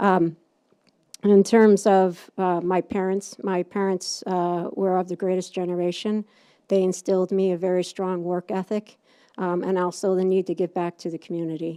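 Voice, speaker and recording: A woman's dark, mellow, medium-pitched voice in an upstate New York accent, with monotone, flat intonation at a moderate pace, in a very clean recording with a silent background and a dry, close sound with no echo. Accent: upstate New York accent, unfamiliar locally. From upstate New York, Utica. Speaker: political candidate. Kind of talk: candidate forum speech. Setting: public meeting with audience. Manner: halting, many fillers.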